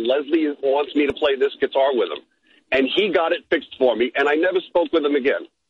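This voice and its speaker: This is an ordinary speaking voice. It goes at a fairly quick speed, and its pitch varies in an ordinary way. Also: man. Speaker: caller, musician. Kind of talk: casual chat. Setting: phone call.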